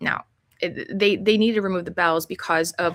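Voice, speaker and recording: Here is a woman talking. Her intonation is fairly even. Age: 50s. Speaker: health coach. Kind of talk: casual interview chat. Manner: rambling, halting.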